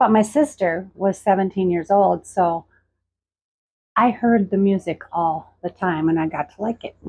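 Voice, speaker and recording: Speaking at a fairly slow pace, a woman uses a dark, mellow tone at medium pitch with ordinary pitch variation. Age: 60s. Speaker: cooking channel host. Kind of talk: casual cooking vlog. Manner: casual, chatty.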